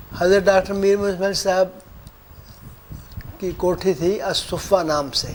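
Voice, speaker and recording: Through noticeable background noise, a man with a high pitch and fairly even intonation speaks with long, frequent pauses. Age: 70s. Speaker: interviewee, religious elder. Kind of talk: interview reminiscence.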